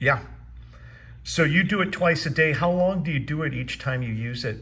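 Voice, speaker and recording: The tone is bright and sharp, with vocal fry. It moves at a moderate pace with ordinary pitch variation. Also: man, fairly high pitch for a man. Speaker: wellness device seller. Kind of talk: phone interview questions.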